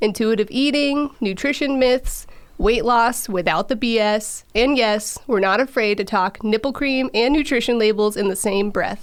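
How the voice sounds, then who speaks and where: At a fairly slow pace, a woman speaks with a high pitch. Her pitch variation is ordinary. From central Illinois, US Midwest. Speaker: podcast host, dietitian. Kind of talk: scripted intro; casual chat.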